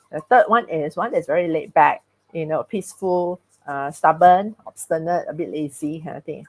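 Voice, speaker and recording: A woman with a fairly low voice speaks at a moderate pace, her loudness rising and falling sharply. Her pitch varies in an ordinary way, in an ordinary speaking voice, and the sound is dry and close with no echo. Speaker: speaker on personality and emotions. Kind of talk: talk with host in live webinar.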